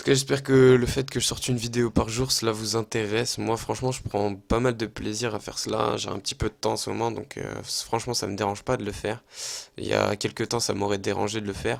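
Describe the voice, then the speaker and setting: Vocal fry runs through a man's medium-pitched voice, delivered in a monotone, flat intonation. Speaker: gaming youtuber. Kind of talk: gameplay commentary. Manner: casual, hesitant with fillers.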